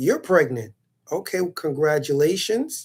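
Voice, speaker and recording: Speaking at a fairly slow pace, a man with a fairly high, dark, mellow voice shows ordinary pitch variation. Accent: New York. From New York. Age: 30s. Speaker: streamer answering viewer comments. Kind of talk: casual monologue to viewers. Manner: animated.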